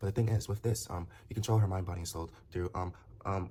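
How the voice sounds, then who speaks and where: Speaking at a very fast pace, a man has a fairly low pitch, a dark, mellow tone, a somewhat breathy sound and fairly even intonation. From Nigeria. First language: Nigerian language. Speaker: commentator. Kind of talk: casual monologue vlog. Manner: halting, many repetitions and fillers.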